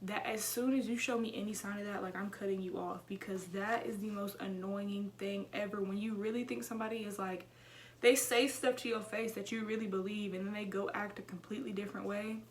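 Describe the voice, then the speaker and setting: Amid noticeable background noise and audible room echo, a woman with an American accent speaks in an animated tone at a fairly quick pace. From Houston, Texas. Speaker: YouTuber. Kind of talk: casual vlog chat. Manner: fast.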